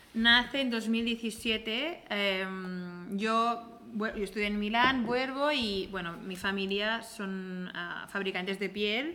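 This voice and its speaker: A woman's fairly high voice with a Catalan accent, at a very slow pace. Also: ordinary pitch variation. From Catalonia, Spain (Igualada). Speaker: handbag designer and brand co-founder. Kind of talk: casual interview chat.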